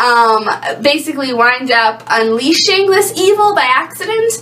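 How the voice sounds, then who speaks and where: A woman's voice swings very widely in pitch amid noticeable background noise and audible room echo. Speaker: book vlogger. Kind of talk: casual book review vlog. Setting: home bathroom. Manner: hesitant, many fillers and stumbles; fast.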